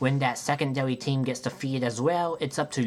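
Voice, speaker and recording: An unremarkable speaking voice, this man talks at a moderate pace and medium pitch with lively intonation. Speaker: gaming video creator. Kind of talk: video game retrospective narration.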